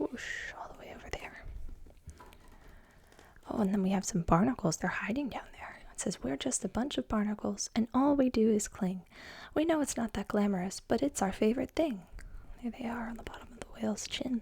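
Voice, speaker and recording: A woman speaks at a fairly high pitch, somewhat breathy. Her loudness swings widely. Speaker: ASMR creator. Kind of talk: children's picture book reading with commentary. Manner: soft, slow, sing-song.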